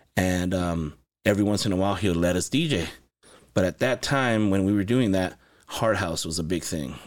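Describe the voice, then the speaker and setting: In a very clean recording with a silent background, a man with an American accent speaks at a moderate pace in a very deep, low pitch with ordinary pitch variation. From Los Angeles and Santa Paula, California. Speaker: music producer and studio owner. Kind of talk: casual interview chat. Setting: recording studio.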